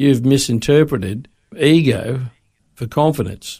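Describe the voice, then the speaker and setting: The recording is very clean and the background silent. A man talks in an Australian accent. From Australia, Sydney. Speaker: former police officer, radio guest. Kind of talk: casual interview. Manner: halting.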